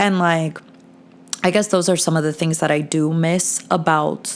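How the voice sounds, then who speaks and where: With an American accent, a woman speaks at a moderate pace and a fairly low pitch. Her intonation is monotone and flat, and background noise is noticeable. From New Jersey, tri-state area. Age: 20s. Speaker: podcast host. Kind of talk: casual chat.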